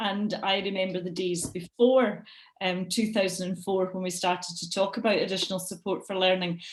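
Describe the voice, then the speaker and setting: In a Scottish accent, a woman talks at a moderate pace in a medium pitch, her intonation monotone and flat and her voice somewhat breathy. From Scotland. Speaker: education lecturer. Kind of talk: webinar presentation.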